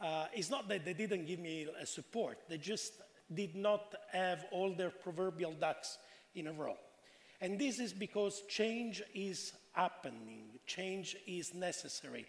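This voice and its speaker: Speaking in an Italian accent, a man with a high-pitched voice talks at a fairly slow pace. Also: ordinary pitch variation. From Italy. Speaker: panelist. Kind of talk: panel discussion.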